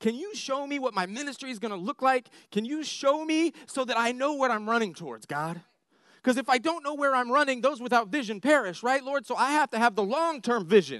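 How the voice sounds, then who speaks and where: A loud man with an American accent speaks at a fairly quick pace in an extremely high pitch, his intonation lively and his tone passionate and animated against a quiet background. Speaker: preacher. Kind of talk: sermon. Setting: church with live audience. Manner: passionate, animated.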